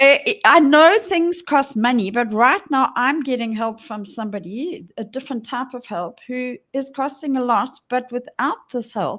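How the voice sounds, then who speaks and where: A woman's high voice with lively intonation and big swings in loudness, fairly slow yet with hardly any pauses, on a very clean recording over a silent background. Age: 60s. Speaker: podcast co-host. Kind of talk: casual chat.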